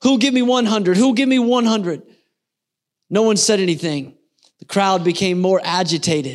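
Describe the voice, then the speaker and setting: A man talks fairly slowly in a very clean recording where the background is silent. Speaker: pastor. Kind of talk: sermon story told as an auctioneer's bidding scene. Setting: church service.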